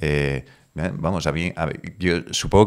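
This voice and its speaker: The background is quiet. A man speaks with a very deep, low pitch and fairly even intonation. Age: 30s. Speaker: video producer; podcast guest. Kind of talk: interview. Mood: reflective, personal story. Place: home room. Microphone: studio mic.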